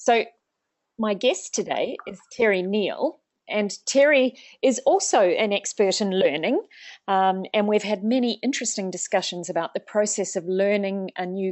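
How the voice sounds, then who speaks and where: A woman is speaking. Her pitch is medium, with ordinary variation. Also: moderate pace. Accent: New Zealand. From New Zealand. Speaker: organisational psychologist, webinar host. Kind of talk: webinar interview. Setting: online webinar, video call.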